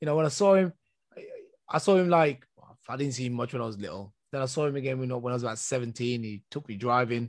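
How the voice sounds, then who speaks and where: A man with an English accent, at a very fast pace. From England. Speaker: podcast host. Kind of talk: interview. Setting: video call.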